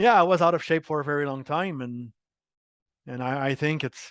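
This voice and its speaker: A man with a slight French Canadian accent speaks at a fairly high pitch and a fairly quick pace. His pitch varies in an ordinary way, and the sound is dry and close with no echo. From Quebec, Montreal. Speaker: marketing executive. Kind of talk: interview.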